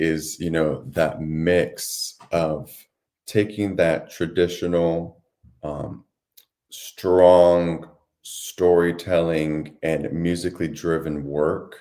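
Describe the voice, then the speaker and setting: Very slow and very deep, a man's dark, mellow voice comes through a very clean recording with a silent background. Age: 20s. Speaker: bass-baritone singer. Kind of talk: interview answer.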